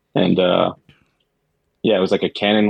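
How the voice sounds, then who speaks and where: Dry and close with no echo, a man with an American accent speaks at a fairly quick pace, fairly low in pitch, with monotone, flat intonation. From Queens, New York. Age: 30s. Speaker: guest, chemical engineer and creative. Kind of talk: casual interview chat.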